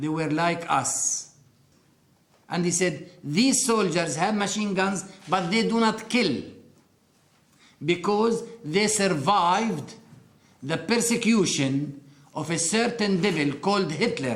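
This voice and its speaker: Over noticeable background noise and audible room echo, a man with an Arabic accent and a high pitch talks at a very slow pace, using lively intonation and long, frequent pauses. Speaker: interviewee sharing life story. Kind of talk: testimony.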